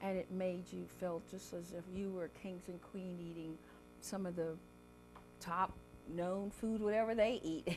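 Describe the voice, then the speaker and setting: A woman with an American accent, fairly slow in pace, with music in the background. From South Carolina Lowcountry. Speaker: chef and cookbook author. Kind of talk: interview answer.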